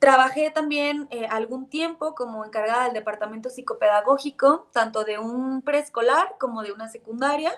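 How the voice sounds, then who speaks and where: Moving at a moderate pace with hardly any pauses, a high-pitched woman speaks with ordinary pitch variation and big swings in loudness. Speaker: psychologist and course instructor. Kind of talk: online course lecture.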